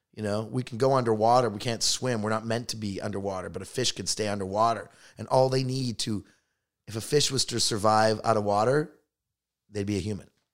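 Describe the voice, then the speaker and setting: Talking at a fairly quick pace with a Canadian accent, the speaker has an unremarkable speaking voice and fairly even intonation on a very clean recording with a silent background. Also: man, fairly low pitch for a man. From Canada, Toronto. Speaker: stand-up comedian. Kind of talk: casual chat.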